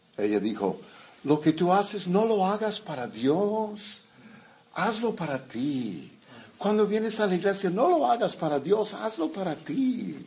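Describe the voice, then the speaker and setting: In a room with audible echo, a man talks very slowly at a high pitch with lively intonation. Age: 70s. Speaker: pastor. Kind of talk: sermon.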